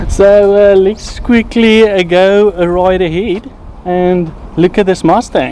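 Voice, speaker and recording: A man speaks with a South African accent in a high voice at a very slow pace. Intonation is fairly even, loudness is very even, and background noise is noticeable. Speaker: car reviewer. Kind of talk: casual car review vlog.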